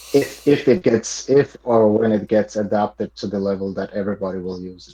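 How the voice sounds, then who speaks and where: With a non-native accent, a man talks at a fairly quick pace and fairly low pitch in a dark, mellow tone. His pitch varies in an ordinary way, while his loudness swings widely. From Montenegro. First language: not English. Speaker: podcast guest, crypto enthusiast. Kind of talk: casual chat. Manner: halting, many repetitions.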